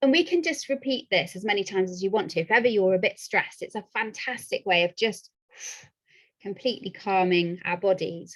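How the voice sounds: Pitch varies in an ordinary way as the words come at a moderate pace. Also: woman, medium pitch for a woman.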